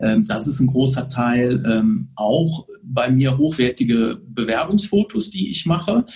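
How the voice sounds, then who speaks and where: Speaking very slowly at a medium pitch, a man sounds somewhat breathy as his pitch swings very widely. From Bonn area, Rhineland, western Germany. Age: 40s. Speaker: photographer. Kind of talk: casual interview. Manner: hesitant with frequent fillers.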